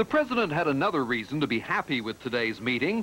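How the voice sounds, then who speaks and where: The man's pitch is fairly high. It swings very widely. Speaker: TV news reporter. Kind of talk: 1984 TV news report, scripted narration. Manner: measured, formal, authoritative broadcast delivery.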